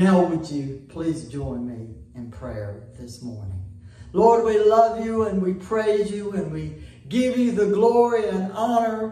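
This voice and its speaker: At a very slow pace, a man speaks in a high pitch with very wide pitch swings and big swings in loudness, and audible room echo surrounds him. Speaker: pastor. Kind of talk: prayer. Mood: warm, devout, grateful. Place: church.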